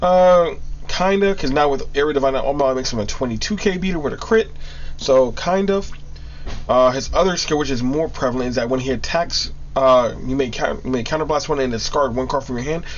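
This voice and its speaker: A man with a fairly high pitch talks at a fairly quick pace with ordinary pitch variation. Noticeable background noise and audible room echo surround him. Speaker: card game YouTuber. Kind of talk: tutorial. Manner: halting; casual.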